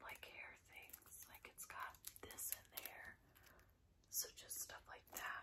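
A woman whispers very slowly, with long, frequent pauses throughout. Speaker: ASMR creator. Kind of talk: ASMR casual talk. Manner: whispered. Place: home room.

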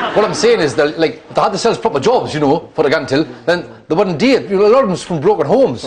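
Over noticeable background noise, a high-pitched man with a Geordie accent races along at a very fast pace with hardly any pauses and very wide pitch swings. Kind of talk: sitcom dialogue.

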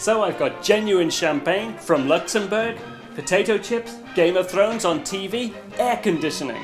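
A man speaks at a moderate pace in a high pitch. Clear music plays in the background. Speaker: film-maker. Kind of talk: comedy sketch acting. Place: home room.

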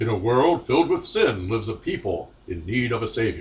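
At a fairly quick pace, a man of medium pitch speaks in a put-on character voice. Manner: soothing.

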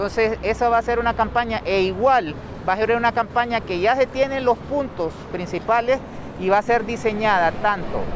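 A man speaks at a moderate pace in a high voice with ordinary pitch variation. The sound is dry with no echo, and there is noticeable background noise. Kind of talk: press statement answering reporters. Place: street. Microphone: handheld.

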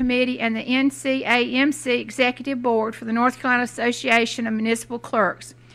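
Speaking at a moderate pace, a woman uses a high pitch and a monotone, flat intonation. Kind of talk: formal reading of a biography. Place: hall.

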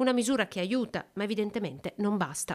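A woman talks at medium pitch with ordinary pitch variation in a very clean recording with a silent background. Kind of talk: news reading. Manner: formal, steady newsreader delivery.

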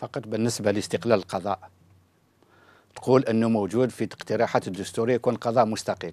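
The sound is dry, with no echo. A man speaks fairly quickly with fairly even intonation. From Algeria. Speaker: lawyer and political activist; lawyer. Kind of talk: TV political debate. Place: studio. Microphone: lapel.

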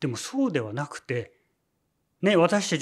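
Over a quiet background, a man with an unremarkable speaking voice talks at a moderate pace and a fairly high pitch. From Japan. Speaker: religious leader. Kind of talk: sermon. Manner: many filler words. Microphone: lapel.

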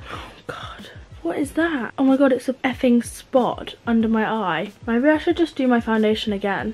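A woman speaks at a moderate pace. She has an English accent. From England. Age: young. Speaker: beauty vlogger. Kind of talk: casual chat. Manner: animated. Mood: frustrated, self-mocking. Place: home room. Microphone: camera far.

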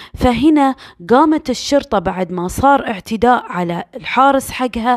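Background silence marks this very clean recording. The pace is fairly slow. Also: woman. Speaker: true crime storyteller. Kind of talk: storytelling narration. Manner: casual, conversational.

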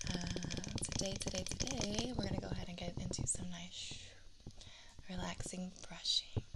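Whispering, a woman leaves long, frequent pauses between her words. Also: moderate pace. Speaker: ASMR content creator. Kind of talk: ASMR brushing video intro, talking to camera. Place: home room. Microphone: studio mic.

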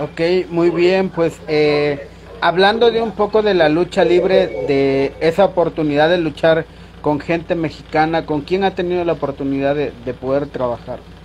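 Over light background noise, a man with a high pitch speaks at a fairly slow pace. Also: ordinary pitch variation. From Mexico, Tabasco (southeast). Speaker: interviewer. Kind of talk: interview. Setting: video call. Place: home room. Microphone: video call.

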